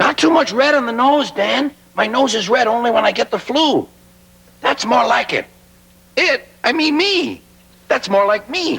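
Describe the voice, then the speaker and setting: A man in a put-on character voice with an extremely high pitch, a moderate pace, and long, frequent pauses. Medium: short film. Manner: chatty, whimsical.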